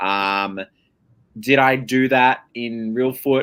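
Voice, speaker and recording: With an Australian accent, this man's pitch rises and falls in an ordinary way. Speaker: online game contestant. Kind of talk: casual chat. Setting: live stream.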